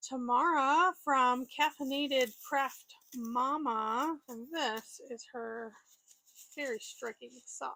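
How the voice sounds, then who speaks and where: A woman's raised, projected voice, high-pitched and bright with a sharp tone, very slow and fairly even in intonation, in a dry, close sound with no echo. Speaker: knitting youtuber. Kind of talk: show and tell.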